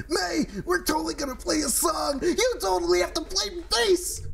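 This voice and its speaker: Someone uses a put-on character voice at a moderate pace amid clear background noise. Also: man. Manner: enthusiastic.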